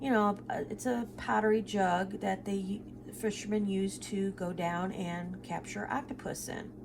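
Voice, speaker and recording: A woman speaks at a medium pitch with ordinary pitch variation. Noticeable background noise sits behind her. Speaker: budgeting vlogger. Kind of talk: casual chat. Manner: hesitant, many fillers.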